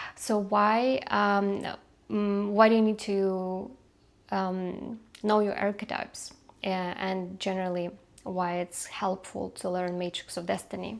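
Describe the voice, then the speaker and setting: In a non-native accent, a woman with a medium pitch talks at a fairly slow pace, her intonation monotone and flat. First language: not English. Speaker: numerologist and coach. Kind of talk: unedited talk to camera. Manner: halting, many fillers.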